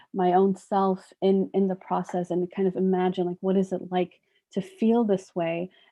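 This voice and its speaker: Soft-spoken and monotone, a woman with a medium pitch talks at a moderate pace in a flat way. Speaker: psychologist. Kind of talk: workshop lecture.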